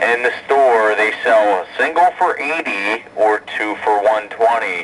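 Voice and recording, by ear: Fairly low in pitch, a man speaks at a fairly slow pace with a fairly bright tone and ordinary pitch variation.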